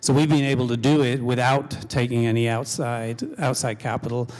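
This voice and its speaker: A man talks at a fairly quick pace with an English accent. His intonation is monotone and flat. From England. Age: middle-aged. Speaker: company CEO. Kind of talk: panel discussion. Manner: halting.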